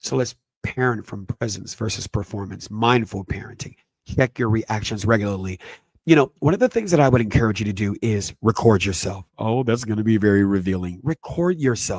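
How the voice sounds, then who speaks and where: Here is a man with an ordinary speaking voice and a fairly low pitch, talking at a fairly quick pace. The sound is dry and close with no echo, and pitch varies in an ordinary way. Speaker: parenting educator, podcast host. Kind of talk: lecture-style presentation.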